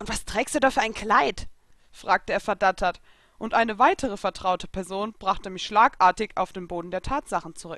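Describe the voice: The speaker is doing plain reading aloud.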